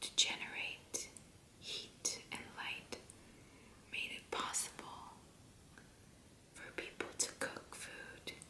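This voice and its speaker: The voice is whispering at a very slow pace. Long, frequent pauses break it up. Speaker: ASMR creator. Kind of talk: ASMR fact reading. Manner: soft whispering. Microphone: studio mic.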